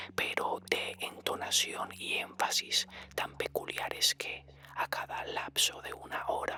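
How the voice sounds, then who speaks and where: Someone whispers at a very slow pace. Background noise is noticeable. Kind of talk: horror story reading. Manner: whispered.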